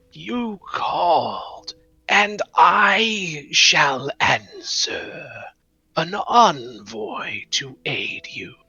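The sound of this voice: A put-on character voice comes across raspy and hissing. It moves at a very slow pace.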